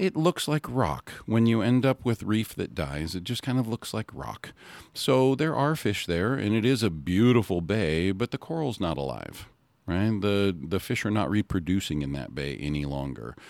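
A man's voice with very wide pitch swings, in a very clean recording with a silent background. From Hawaii. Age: 50s. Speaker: reef-safe sunscreen advocate. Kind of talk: casual interview.

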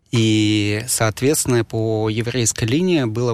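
A man with an unremarkable speaking voice, medium pitch and a fairly slow pace, on a very clean recording with a silent background. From Moscow, Russia. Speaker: sommelier and wine bar manager. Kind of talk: interview conversation.

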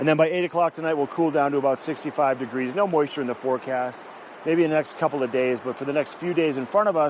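Behind a man's fairly high-pitched voice, noticeable background noise can be heard. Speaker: field host and weather presenter. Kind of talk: local TV weather report. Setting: outdoors at a gondola base. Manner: brisk, breezy forecast rattled off number by number; casual and chatty, with small filler asides.

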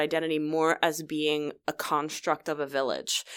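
This woman with an American accent has a fairly low pitch, and the recording is very clean with a silent background. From US Northeast (New Jersey). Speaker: tech industry council president. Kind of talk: interview.

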